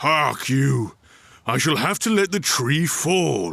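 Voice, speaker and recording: A man uses a put-on character voice, growling at a fairly high pitch and a fairly slow pace. The recording is very clean, with a silent background. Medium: read story. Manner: contemptuous, blunt.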